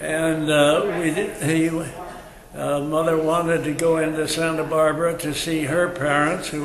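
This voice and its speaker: A man with an American accent, fairly high pitch, monotone, flat intonation and a very slow pace, plus audible room echo and noticeable background noise. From California (Carpinteria). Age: 80s+. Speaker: elderly local resident. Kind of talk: oral history reminiscence. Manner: halting, many fillers.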